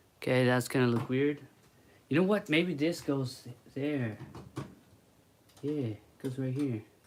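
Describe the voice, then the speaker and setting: A man speaks at a fairly slow pace, with long, frequent pauses. His pitch is medium, with ordinary variation. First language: Spanish. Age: 20s. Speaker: toy builder streamer. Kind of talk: casual livestream chat while building. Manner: halting.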